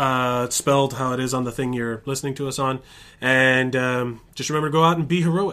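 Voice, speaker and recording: On a very clean recording with a silent background, a man talks at a fairly quick pace in a medium pitch, his tone bright and sharp and his intonation fairly even. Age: 30s. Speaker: podcast co-host. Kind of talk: casual chat.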